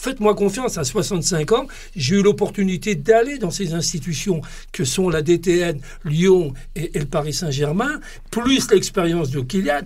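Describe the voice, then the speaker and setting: A man with a high pitch speaks fairly slowly, his intonation lively. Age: 60s. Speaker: football club technical director. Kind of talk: podcast interview. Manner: halting, many repetitions and hesitations.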